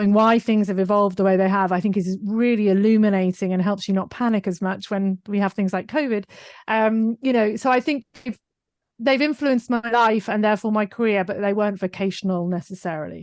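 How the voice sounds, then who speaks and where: Against a quiet background, a woman talks fairly quickly at medium pitch with fairly even intonation and a dry, close sound with no echo. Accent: British. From UK. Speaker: digital marketing business owner. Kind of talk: podcast interview.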